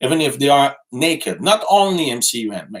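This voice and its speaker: A man speaks with a strong Quebec accent. His pace is moderate and his intonation lively. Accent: thick French Quebec. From Quebec City. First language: French. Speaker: live streamer. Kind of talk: casual live stream chat reading comments. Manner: halting, many fillers and repetitions.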